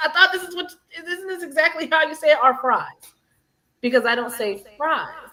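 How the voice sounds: Her raised, projected voice is extremely high-pitched for a woman, bright and sharp in tone, with lively intonation, big swings in loudness, a fairly quick pace, and long, frequent pauses.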